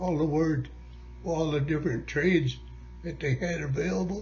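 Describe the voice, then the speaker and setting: A man's voice moves at a moderate speed over background music. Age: 90s. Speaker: war veteran. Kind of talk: interview.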